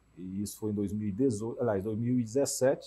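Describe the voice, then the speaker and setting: This man has a fairly low, dark, mellow voice with ordinary pitch variation. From Teresina, Piauí, Brazil; Piauí, Brazil. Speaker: cardiologist and health insurer executive; interview guest. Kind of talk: TV debate interview. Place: studio. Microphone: lapel.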